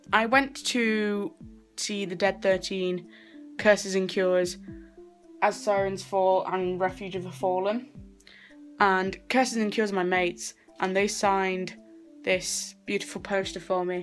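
Faint music plays behind a woman who speaks at a fairly slow pace with fairly even intonation and long, frequent pauses. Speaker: vlogger. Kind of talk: casual vlog chat. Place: home room. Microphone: phone near.

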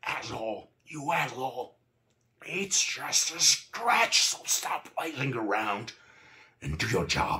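A man shouts slowly in a put-on character voice at medium pitch. His tone is bright and sharp, with big pitch swings.

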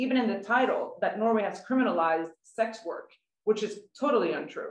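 With audible room echo, a woman speaks with a Swedish accent, her pitch swinging very widely. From Sweden. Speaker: journalist and writer; journalist. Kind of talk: prepared talk. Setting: online webinar from home. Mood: earnest, critical. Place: home room. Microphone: video call.

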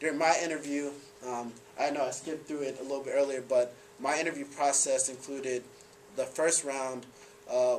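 A man at a moderate pace, monotone and flat in intonation, over light background noise. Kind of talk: presentation talk. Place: classroom. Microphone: camera far.

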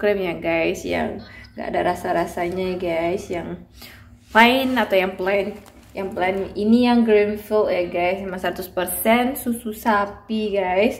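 A woman talks very slowly, and her intonation stays fairly even. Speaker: mother vlogger. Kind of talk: casual vlog chat. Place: home room. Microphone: phone near.

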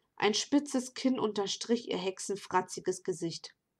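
A woman's fairly high voice with ordinary pitch variation, at a very slow pace, on a very clean recording with a silent background. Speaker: novelist reading her own book. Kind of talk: reading aloud. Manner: hesitant with fillers in intro.

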